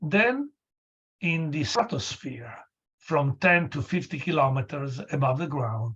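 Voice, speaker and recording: A man's somewhat breathy, fairly high voice at a fairly slow pace, with lively intonation. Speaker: lecturer. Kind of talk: lecture. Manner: halting.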